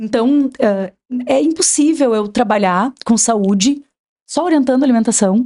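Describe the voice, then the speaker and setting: A woman's high-pitched, dark, mellow voice at a fairly slow pace. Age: 40s. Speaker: nutritionist. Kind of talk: podcast interview. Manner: agitated.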